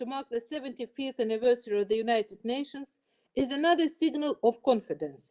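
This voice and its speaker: A woman's dark, mellow voice with a Russian accent, fairly quick, with ordinary pitch variation and a dry, close sound free of echo. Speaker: UN official. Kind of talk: formal opening speech. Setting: online event. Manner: formal.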